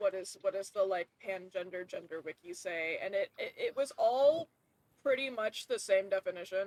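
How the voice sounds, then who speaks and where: A woman talks at a moderate pace with a medium pitch and lively intonation. The sound is dry and close, with no echo. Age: 20s. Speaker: vtuber streamer. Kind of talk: casual livestream chat while gaming. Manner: animated, filler-heavy.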